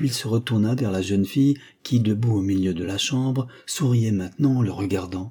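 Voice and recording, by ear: With ordinary pitch variation, a text is read aloud in a natural voice.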